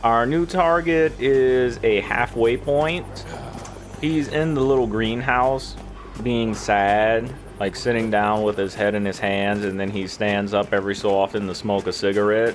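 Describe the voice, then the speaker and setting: A man's medium-pitched voice at a fairly slow pace, with ordinary pitch variation, over noticeable background noise. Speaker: video game commentator. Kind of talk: gameplay walkthrough commentary. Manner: casual, conversational; occasional stuttering.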